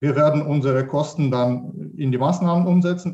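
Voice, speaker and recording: Here a man speaks with a Russian accent at a moderate pace. His pitch is fairly high, with ordinary variation. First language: Russian (speaking German). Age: 40s. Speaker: mathematics professor. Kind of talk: online panel discussion. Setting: online panel, video call. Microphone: poor sound quality.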